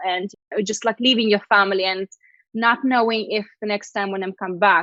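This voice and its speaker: A woman speaks at a medium pitch and a fairly quick pace, with fairly even intonation. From Lithuania. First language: Russian. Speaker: PR agency founder. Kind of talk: interview.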